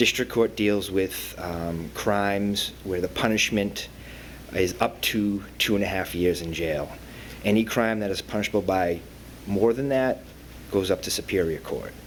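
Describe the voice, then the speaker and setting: A man speaks with a Boston accent in a fairly low pitch. His pace is fairly slow, with ordinary pitch variation. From Boston area, Massachusetts. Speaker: probation officer. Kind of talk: panel talk. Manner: halting, many fillers.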